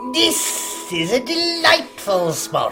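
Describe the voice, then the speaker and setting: A put-on character voice performs over clear music in the background. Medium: stage play.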